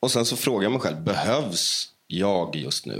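A man is talking. His voice sits very deep and low. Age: 30s. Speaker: musician. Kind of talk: interview.

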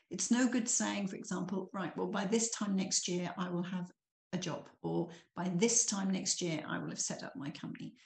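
At a moderate pace, a woman speaks at a medium pitch with ordinary pitch variation and vocal fry. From eastern England, Norfolk. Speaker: small business owner. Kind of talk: interview.

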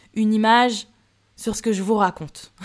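The recording is very clean, with a silent background. A woman speaks at a fairly high pitch with ordinary pitch variation. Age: 20s. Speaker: solo podcaster. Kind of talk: personal monologue. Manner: casual; laughs often.

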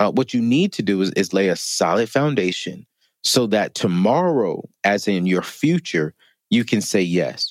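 With an unremarkable speaking voice, this man talks at a moderate pace in a fairly low pitch, his intonation lively and his loudness very even, in a dry, close sound with no echo on a very clean recording with a silent background. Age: 30s. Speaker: financial expert. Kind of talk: interview. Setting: studio.

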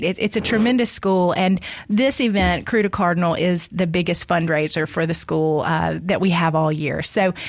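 Ordinary pitch variation in a normal speaking voice, at a moderate pace. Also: woman. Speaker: guest. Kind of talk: casual chat.

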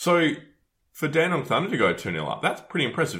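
A man with an Australian accent, vocal fry and a bright, sharp tone at a very fast pace, on a very clean recording with a silent background. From Adelaide, South Australia. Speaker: football podcast host. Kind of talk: casual chat.

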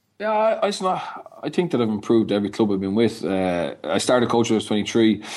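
A man with a Dublin accent talks at a very fast pace with hardly any pauses, his medium-pitched voice carried by lively intonation. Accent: Irish (Dublin). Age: young. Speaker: rugby coach. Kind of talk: interview.

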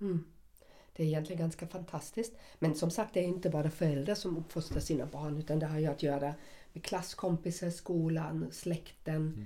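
At a moderate pace, a woman talks with a fairly low pitch and a dark, mellow tone. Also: ordinary pitch variation. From West Germany. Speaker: podcast co-host. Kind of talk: casual chat.

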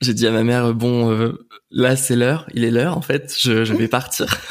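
The man's pace is very slow. His pitch is medium and his intonation fairly even. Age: 20s. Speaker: video editor and former stage performer. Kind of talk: casual interview. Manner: hesitant, many fillers.

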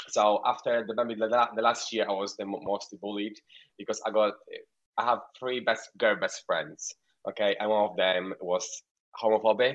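With a Polish accent, a man talks at a moderate pace, at medium pitch and with fairly even intonation. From rural Poland, near Ukraine. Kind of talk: casual radio interview.

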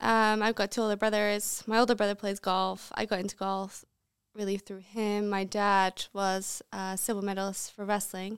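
In a very clean recording with a silent background and dry, close sound with no echo, a woman with an American accent speaks at a moderate pace in a medium pitch with monotone, flat intonation. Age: 20s. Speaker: professional golfer. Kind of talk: casual chat. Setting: studio.

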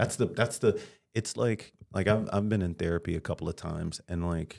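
Speaking with an American accent and fairly even intonation, a man is heard in a very clean recording over a silent background. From Detroit, US Midwest. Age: 40s. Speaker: comedian. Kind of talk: casual chat.

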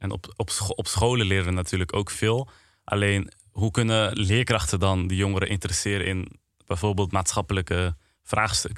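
A man speaks at a moderate pace with fairly even intonation and a fairly low pitch. The recording is very clean, with a silent background. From Netherlands, Apeldoorn. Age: 20s. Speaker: presenter and content creator. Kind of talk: podcast conversation. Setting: studio. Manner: hesitant, many fillers.

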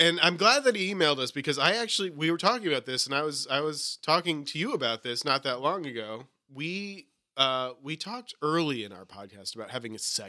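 This man talks at a fairly quick pace with a fairly high pitch, very wide pitch swings, big swings in loudness, and a bright, sharp tone. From New England. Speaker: podcast co-host. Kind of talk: casual chat.

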